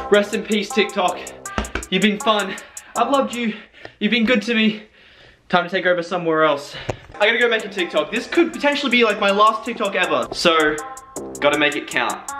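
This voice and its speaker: With an Australian accent, a man speaks in a raised, projected voice, high in pitch, with an upbeat tone, lively intonation and a fairly quick pace, leaving long, frequent pauses over clear music in the background. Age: young. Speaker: TikTok creator and vlogger. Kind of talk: casual talk to camera. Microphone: phone near.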